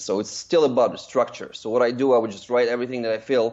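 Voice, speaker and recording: With a Russian accent, a man speaks very fast at medium pitch. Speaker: screenwriter and director. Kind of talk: interview. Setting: podcast interview.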